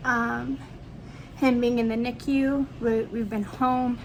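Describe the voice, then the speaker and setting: A woman speaks at a fairly slow pace with a fairly high pitch. Her intonation stays fairly even, and audible room echo surrounds her voice. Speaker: vlogger, new parent. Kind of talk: casual vlog update. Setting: at home. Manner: soft-spoken; hesitant with fillers.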